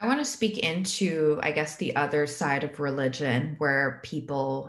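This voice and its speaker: This woman's voice sits very deep and low, with ordinary pitch variation. She talks at a fairly slow pace. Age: 20s. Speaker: podcast host. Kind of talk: casual chat. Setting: video call.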